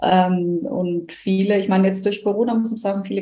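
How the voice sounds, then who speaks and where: A woman's medium-pitched, monotone, flat delivery at a fairly quick pace, over noticeable background noise. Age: 20s. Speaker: nurse and coach. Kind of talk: interview.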